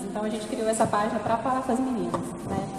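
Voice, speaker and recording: A fairly high-pitched woman's voice, monotone and flat, with audible room echo and noticeable background noise. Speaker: pedagogue and teacher, feminist lecturer. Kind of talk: lecture. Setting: campus talk with audience.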